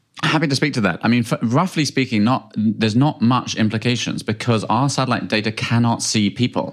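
This man talks with a British accent at a fairly quick pace, with hardly any pauses. His loudness stays very even and his pitch varies an ordinary amount. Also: medium pitch for a man. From UK. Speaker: space company founder and CEO. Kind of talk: interview. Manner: halting with many fillers.

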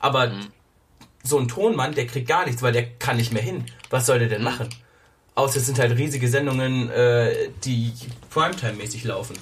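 Somewhat breathy and at a moderate pace, a man speaks with long, frequent pauses amid audible room echo. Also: medium pitch for a man. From Germany. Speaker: podcast host. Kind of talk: casual chat. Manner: animated.

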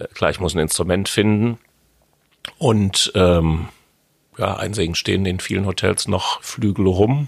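A man with a Westphalian accent speaks at a fairly slow pace with long, frequent pauses, in a fairly low pitch of ordinary variation. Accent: Westphalian speech melody. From Westphalia, Germany (Hamm). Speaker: jazz pianist. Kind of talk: casual interview. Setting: jazz club.

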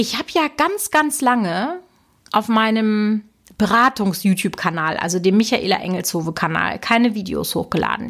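The speaker has an animated tone and lively intonation. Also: woman. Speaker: YouTube business consultant and podcast host. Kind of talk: solo podcast monologue.

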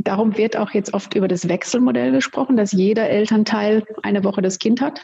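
A woman's fairly high, somewhat breathy voice with a dark, mellow tone, lively intonation and a moderate pace. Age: 50s. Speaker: family law attorney. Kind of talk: interview.

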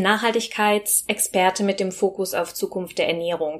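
An ordinary speaking voice at a moderate pace. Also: woman. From Rhineland, Germany (Bergisch Gladbach near Cologne). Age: 30s. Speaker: sustainability and food consultant, podcast co-host. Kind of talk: interview, telling her own story.

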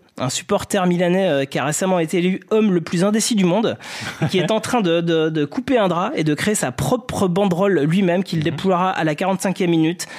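Against noticeable background noise, a man speaks at a fairly quick pace in a high pitch with ordinary pitch variation and very even loudness. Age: 40s. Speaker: sports journalist. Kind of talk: comedic football podcast chat.

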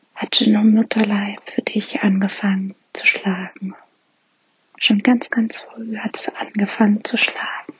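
A woman speaks very slowly in a fairly high, soothing and gentle voice. Her intonation stays monotone and flat. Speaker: meditation guide. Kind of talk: guided meditation. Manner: slow, soothing, gentle; calm, warm, with pauses.

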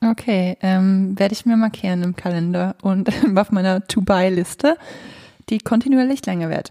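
Recorded dry and close with no echo, a woman with an unremarkable speaking voice talks at a medium pitch and a moderate pace. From Switzerland. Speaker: music podcast co-host. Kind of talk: casual chat. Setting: living room in her flat. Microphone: poor sound, echoey room.

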